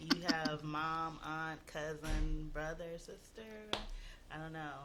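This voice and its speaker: The speaker talks very slowly in a New Orleans accent. Music sounds in the background. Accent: New Orleans Southern US. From US South, New Orleans, Louisiana. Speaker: single guest on dating show. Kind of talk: casual radio talk show.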